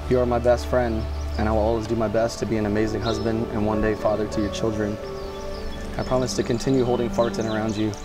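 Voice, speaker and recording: A man talks very quickly while clear music sounds behind him. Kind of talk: wedding vows read aloud. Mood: warm, emotional, playful. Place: garden. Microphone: lapel.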